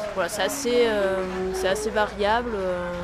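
With noticeable background noise and audible room echo, a woman speaks at a fairly slow pace in a medium pitch with fairly even intonation. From Toulouse, southern France. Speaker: Esperanto association volunteer. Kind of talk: interview. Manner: hesitant, with fillers.

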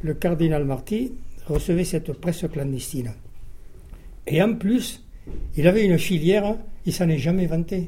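A man speaks at a fairly slow pace in a high, dark and mellow voice with ordinary pitch variation, leaving long, frequent pauses. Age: 80s+. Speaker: war veteran, former resistance fighter. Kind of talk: testimony.

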